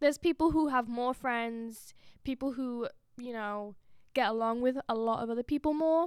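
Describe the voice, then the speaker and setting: Speaking in a southern English accent, a woman has a high pitch. The sound is dry and close with no echo, in a very clean recording with a silent background. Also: ordinary pitch variation, moderate pace. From England, Oxford. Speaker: student podcast co-host. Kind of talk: casual chat.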